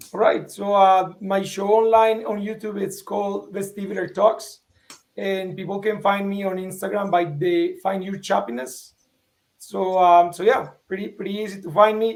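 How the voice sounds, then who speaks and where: Speaking with a Spanish accent, a man uses a high pitch and fairly even intonation while his loudness swings widely. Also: moderate pace. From Colombia. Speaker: vestibular patient and online show host. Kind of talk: panel interview.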